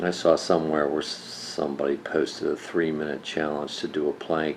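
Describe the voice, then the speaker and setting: The voice is monotone, with flat intonation, at a moderate pace. Noticeable background noise runs underneath. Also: man, very deep, low pitch for a man. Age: 60s. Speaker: senior fitness enthusiast. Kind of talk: casual talk to camera.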